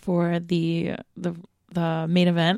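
A woman at medium pitch with a dark, mellow tone, talking at a very slow pace in a dry, close sound with no echo. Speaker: wrestling podcast co-host. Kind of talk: casual chat, podcast.

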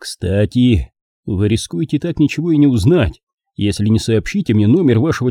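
Lively intonation marks an unforced reading voice set against a quiet background.

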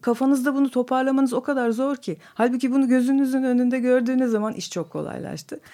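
Her pitch high but her tone dark and mellow, a woman rushes along at a very fast pace with fairly even intonation and hardly any pauses. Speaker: exhibition curator and book editor. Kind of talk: radio interview.

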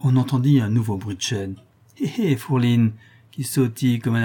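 With ordinary pitch variation, the voice reads in an unforced way.

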